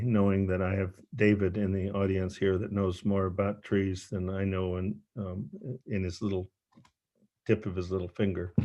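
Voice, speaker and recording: Against a quiet background, a man with an American accent speaks at a moderate pace in a fairly low, dark, mellow tone. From northeastern US. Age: 70s. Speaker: retreat guest speaker. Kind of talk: talk to a retreat audience. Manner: halting.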